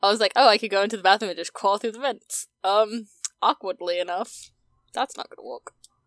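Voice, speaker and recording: A woman with an unremarkable speaking voice talks at a fairly quick pace and a fairly high pitch. Her intonation is fairly even, her loudness swings widely, and the sound is dry and close with no echo. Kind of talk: casual chat, tabletop roleplaying podcast.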